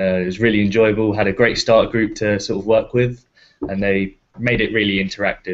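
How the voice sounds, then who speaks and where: This man talks at a fairly low pitch and a fairly quick pace. His intonation is monotone and flat. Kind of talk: panel Q&A on video call. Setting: video call.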